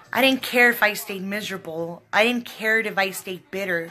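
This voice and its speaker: The woman's fairly slow speech, with ordinary pitch variation, comes over noticeable background noise. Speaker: psychic medium. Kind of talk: live stream talk to viewers. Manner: loud.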